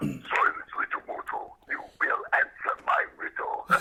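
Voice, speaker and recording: A man's put-on character voice, pitched extremely high, at a fairly slow pace. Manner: menacing, commanding.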